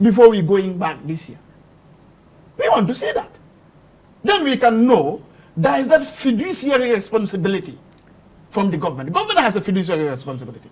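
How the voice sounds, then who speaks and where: A man talks very fast in a high voice with very wide pitch swings and big swings in loudness. Long, frequent pauses interrupt him over noticeable background noise. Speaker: political commentator. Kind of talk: heated debate. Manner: animated.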